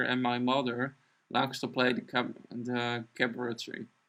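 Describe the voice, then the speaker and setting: With a non-native accent, a man talks at a fairly slow pace in a medium pitch and a bright, sharp tone. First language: not English. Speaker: artist live-streaming drawing. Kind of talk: casual chat during live stream. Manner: halting.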